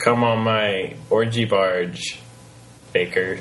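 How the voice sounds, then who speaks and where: Putting on a character voice, a man at medium pitch speaks at a very slow pace over clear background noise. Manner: boisterous, cheeky.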